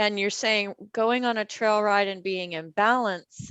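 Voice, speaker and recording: A woman speaks in a plain, everyday voice at a fairly high pitch and fairly slow pace, with ordinary pitch variation. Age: 60s. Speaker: Alexander Technique instructor. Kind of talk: casual chat.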